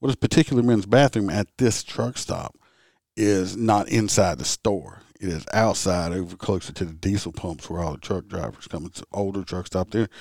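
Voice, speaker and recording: A man with a very deep, low pitch and vocal fry talks at a moderate pace with lively intonation in a Southern US accent. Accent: Southern US rural. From Louisiana.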